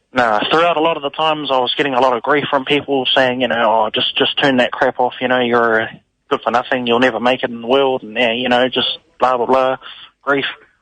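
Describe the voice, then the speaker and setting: A man with a New Zealand accent, medium pitch, fairly even intonation and a very fast pace. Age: 20s. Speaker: caller, young musician. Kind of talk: casual call-in testimony.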